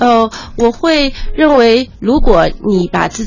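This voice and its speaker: The speaker is a woman with lively intonation. Noticeable background noise can be heard. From Ningbo, Zhejiang, China. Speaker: marketing and PR strategist. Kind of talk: radio interview.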